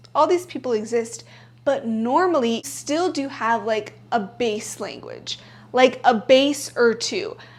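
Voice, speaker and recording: At a very slow pace, a woman speaks with a high pitch. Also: lively intonation. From bilingual Spanish-English upbringing. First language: Spanish. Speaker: self-help YouTuber. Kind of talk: casual vlog talk to camera. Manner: conversational with many filler likes.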